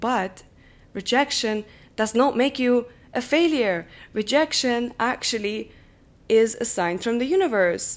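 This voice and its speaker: Fairly slow delivery with lively intonation, a warm tone and long, frequent pauses. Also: woman, high pitch for a woman. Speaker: podcast host. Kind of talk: solo podcast monologue on psychology. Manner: warm, friendly, direct address.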